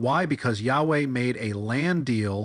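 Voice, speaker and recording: An unremarkable speaking voice from a man of medium pitch with ordinary pitch variation, dry and close with no echo against a quiet background. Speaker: satirical bible commentator. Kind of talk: comedic commentary monologue. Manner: sarcastic.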